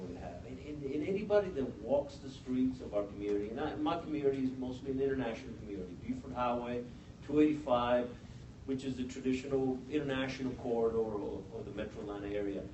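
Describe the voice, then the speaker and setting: With a Spanish accent, a man talks at a very fast pace and medium pitch, with audible room echo and noticeable background noise. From Mexico. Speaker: police officer. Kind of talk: panel discussion. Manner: halting, with many restarts.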